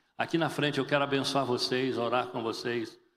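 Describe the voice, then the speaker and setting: With audible room echo, a man speaks at a moderate pace in an animated tone. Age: 60s. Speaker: pastor. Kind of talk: sermon.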